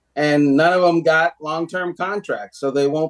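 At a fairly slow pace, a normal speaking voice comes through in a dry, close sound with no echo. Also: man. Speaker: sports journalist. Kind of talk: casual chat.

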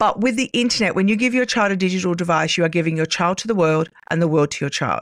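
A woman with an Australian accent, medium in pitch, at a very fast pace with hardly any pauses, ordinary pitch variation, on a very clean recording with a silent background. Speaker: cyber safety educator, former police officer. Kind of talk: interview.

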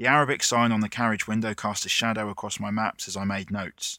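Recorded very cleanly against a silent background, the voice has a bright, sharp tone and a dry, close sound with no echo, moving at a fairly quick pace. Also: man. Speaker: writer, photographer and surfer. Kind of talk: dramatic narration, scripted first-person travel essay. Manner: measured, evocative, reflective.

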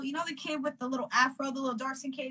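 A woman with an American accent uses a raised, projected voice at a high pitch. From Northern California. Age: 20s. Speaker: singer-songwriter. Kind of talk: casual interview chat.

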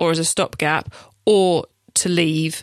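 In an English accent, a woman speaks with a dry, close sound and no echo. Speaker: e-commerce podcast host. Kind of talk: solo podcast tutorial. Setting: studio.

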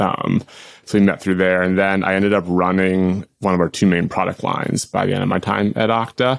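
At a fairly quick pace and with fairly even intonation, the voice comes through on a very clean recording with a silent background. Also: man, very deep, low pitch for a man. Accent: American. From Boston, US. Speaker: tech company executive. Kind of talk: interview.

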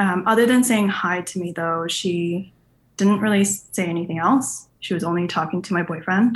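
A somewhat breathy woman speaks at a moderate pace and medium pitch, with ordinary pitch variation. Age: 20s. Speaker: podcast caller with relationship question. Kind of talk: personal story told on a call-in podcast.

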